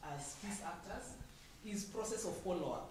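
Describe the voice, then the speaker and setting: A woman with a medium-pitched voice speaks at a moderate pace, with noticeable background noise and audible echo from the room. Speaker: audience member. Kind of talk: audience comment. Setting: forum hall with microphone.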